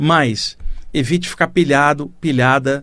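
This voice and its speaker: A man with an unremarkable speaking voice and fairly high pitch talks at a fairly slow pace with fairly even intonation. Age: 60s. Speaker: radio host, spiritualist teacher. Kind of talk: spiritual talk on radio. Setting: radio studio. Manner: conversational.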